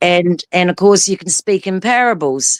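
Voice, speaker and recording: Recorded dry and close with no echo, a woman with an unremarkable speaking voice talks at a moderate pace and medium pitch. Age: 50s. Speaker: guest on live stream discussion. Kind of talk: casual chat.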